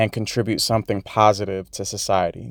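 A man speaks at a moderate pace in a normal speaking voice, with a dry, close sound and no echo. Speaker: podcast host. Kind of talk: casual solo monologue.

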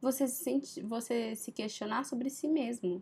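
An unremarkable speaking voice moves at a fairly slow pace with lively intonation. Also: woman. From Brazil, Minas Gerais. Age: 20s. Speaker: podcast host, journalism student. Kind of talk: casual solo monologue.

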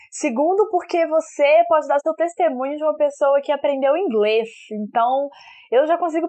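Lively intonation at a moderate pace, in a Minas Gerais accent. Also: woman. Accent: mineiro. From Belo Horizonte, Minas Gerais, Brazil. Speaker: podcast co-host. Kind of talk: casual chat.

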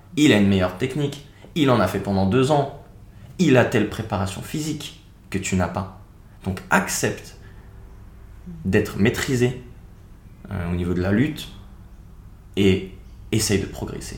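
Amid audible room echo, a man with a fairly low pitch and lively intonation speaks at a fairly slow pace, leaving long, frequent pauses. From France, Seine-et-Marne east of Paris. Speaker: video creator and traveller. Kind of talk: interview conversation.

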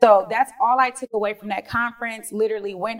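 A woman with an American accent and an unremarkable speaking voice, fairly high in pitch, with ordinary pitch variation at a moderate pace. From Detroit, Michigan. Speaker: real estate investor. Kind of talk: interview.

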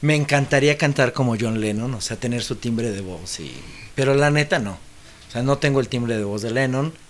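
At a fairly slow pace, a man speaks in an ordinary speaking voice with ordinary pitch variation. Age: 40s. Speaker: musician. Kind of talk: casual chat.

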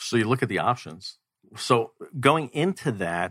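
A man with an American accent speaks in a bright, sharp tone. The recording is very clean, with a silent background. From New York City. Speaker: financial coach. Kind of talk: radio interview. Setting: studio.

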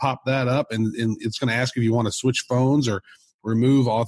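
Reading aloud in a natural voice, fairly even intonation, quiet background.

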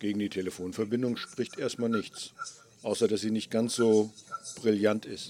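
Over noticeable background noise, a man with a fairly low pitch speaks at a moderate pace. His intonation is monotone and flat, with long, frequent pauses. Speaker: podcaster testing recording setup. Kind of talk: casual technical test call.

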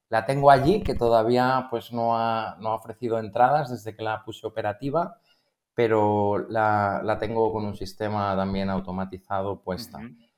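A man with a normal speaking voice at medium pitch, ordinary pitch variation, big swings in loudness and a moderate pace, on a very clean recording with a silent background. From Spain, Barcelona. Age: 50s. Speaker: algorithmic trader. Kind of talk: casual interview.

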